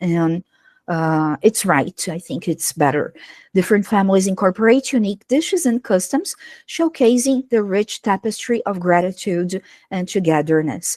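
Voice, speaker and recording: A woman with a Brazilian accent speaks with lively intonation, the sound dry and close with no echo. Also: medium pitch for a woman, moderate pace. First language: Portuguese. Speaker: English teacher. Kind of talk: online workshop presentation. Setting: livestream.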